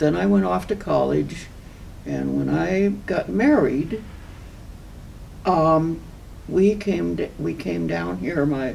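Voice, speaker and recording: A woman speaks at a very slow pace with long, frequent pauses, and there is noticeable background noise and audible room echo. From Southern California. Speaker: local environmental activist. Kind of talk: oral history interview.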